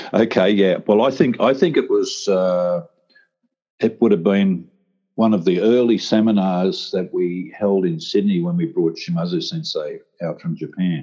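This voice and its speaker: Fairly low-pitched male voice with a dark, mellow tone, very wide pitch swings and a moderate pace. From Australia, rural New South Wales. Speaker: retired police officer and martial arts teacher. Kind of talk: casual interview.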